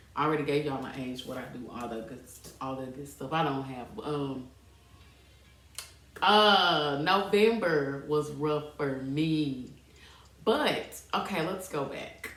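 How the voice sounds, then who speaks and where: Amid noticeable background noise and audible room echo, a woman with a very deep, low voice speaks at a fairly slow pace, with long, frequent pauses and big swings in loudness. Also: ordinary pitch variation. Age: 30s. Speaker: podcast host, fitness entrepreneur. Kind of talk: casual personal storytelling podcast. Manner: casual, conversational, hesitant at times.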